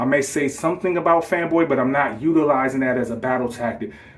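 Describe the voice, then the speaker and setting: An animated man with a fairly high voice talks at a fairly quick pace amid noticeable background noise. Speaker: gaming YouTuber. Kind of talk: casual response video. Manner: fast.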